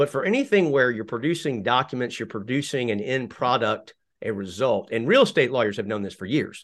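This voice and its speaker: A man with a plain, everyday voice talks at a fairly quick pace and a medium pitch, with hardly any pauses and ordinary pitch variation. The background is quiet. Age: 50s. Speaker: lawyer and podcast host. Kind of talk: casual interview.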